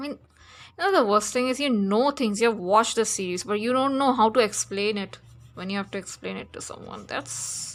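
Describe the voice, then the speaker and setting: Recorded very cleanly against a silent background, a woman with a fairly high voice speaks at a moderate pace, her loudness swinging widely. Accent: non-native. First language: not English. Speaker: digital artist, art youtuber. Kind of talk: casual drawing tutorial chat. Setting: home flat near road. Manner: halting, many fillers. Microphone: voice too quiet vs music.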